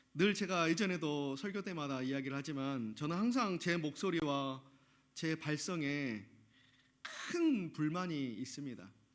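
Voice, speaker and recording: Lively intonation marks this man's fairly slow speech, heard with audible room echo. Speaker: pastor. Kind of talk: sermon. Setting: church.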